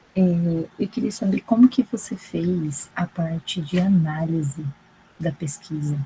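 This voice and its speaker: Quiet and somewhat breathy, a woman speaks at a fairly slow pace in a fairly low, dark, mellow voice with lively intonation. The sound is dry and close, with no echo. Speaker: graduate student. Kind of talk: audience question.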